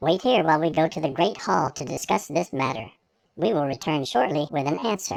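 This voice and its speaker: In a put-on character voice of middle pitch, the speaker moves at a fairly quick pace. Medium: read story. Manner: formal, earnest.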